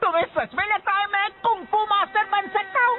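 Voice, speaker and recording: The put-on character voice moves along at a moderate pace. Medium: fan dub. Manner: whiny, indignant.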